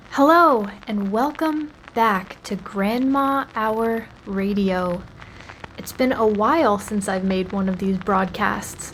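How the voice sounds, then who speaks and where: Through noticeable background noise, a woman with a fairly high voice speaks very slowly with lively intonation. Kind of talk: casual radio-style show introduction.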